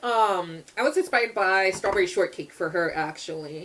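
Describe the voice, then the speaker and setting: Loud and animated, a woman speaks at a moderate pace. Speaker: artist vlogger. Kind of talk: casual chat.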